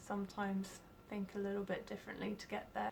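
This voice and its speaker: Over noticeable background noise, a woman with a British accent speaks at a medium pitch. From UK. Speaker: job applicant, artist and entrepreneur. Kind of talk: video job application pitch.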